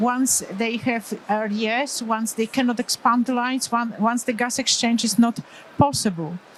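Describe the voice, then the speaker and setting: There is noticeable background noise as a woman with a Polish accent speaks at a fairly high pitch. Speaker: pediatric anesthesiologist. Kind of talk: conference lecture. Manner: halting.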